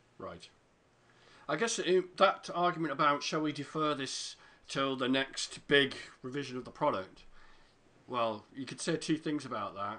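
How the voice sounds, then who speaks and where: A man with a British accent speaks at a fairly slow pace, his pitch fairly high, with ordinary variation. His tone is bright and sharp, his loudness swings widely, and long pauses come often. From Britain. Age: 40s. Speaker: podcast host. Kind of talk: casual interview chat.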